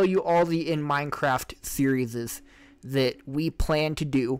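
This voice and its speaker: This is a man speaking at a fairly high pitch. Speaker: podcast host. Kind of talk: casual chat. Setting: livestream. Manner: loud. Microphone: mic a little hot, very close to mic.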